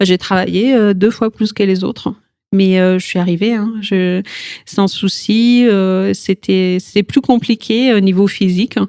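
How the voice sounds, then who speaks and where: In an Italian accent, a woman speaks very slowly at a medium pitch, her dark, mellow tone and fairly even intonation caught in a dry, close sound with no echo. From Italy. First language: Italian (speaking French). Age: 40s. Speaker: yoga teacher, cancer survivor. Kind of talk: podcast interview testimony. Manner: hesitant, many fillers.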